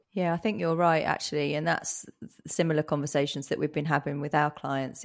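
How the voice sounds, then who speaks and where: This woman has a very deep, low pitch and an English accent, with fairly even intonation. The recording is very clean, with a silent background. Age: 40s. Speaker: podcast host, digital agency owner. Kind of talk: casual interview.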